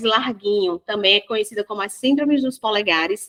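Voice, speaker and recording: In a bright, sharp tone, a woman speaks at a fairly quick pace and a fairly high pitch, with a dry, close sound and no echo. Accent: northeastern Brazilian. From Northeast Brazil. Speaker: holistic therapist and parenting educator. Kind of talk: podcast interview. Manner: spontaneous.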